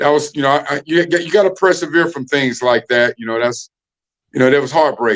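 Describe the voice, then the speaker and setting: A man's fairly high voice at a fairly quick pace with ordinary pitch variation. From North Carolina (Winston-Salem). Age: 50s. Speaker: former college football player. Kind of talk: casual chat. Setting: podcast.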